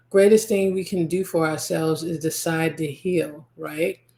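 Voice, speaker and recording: A woman speaks at a moderate pace with fairly low pitch. She has a normal speaking voice. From US, Nigerian American family. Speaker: podcast host and spiritual healer. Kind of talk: podcast monologue.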